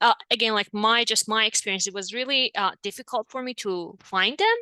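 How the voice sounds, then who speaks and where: Speaking at a fairly quick pace with a non-native accent, a woman has a fairly high pitch, a bright, sharp tone and fairly even intonation, in a dry, close sound with no echo. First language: not English. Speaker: marriage and family therapist. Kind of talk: interview conversation.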